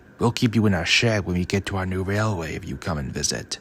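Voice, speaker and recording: A man does a put-on character voice, very deep and low, racing along at a very fast pace on a very clean recording with a silent background. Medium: read story.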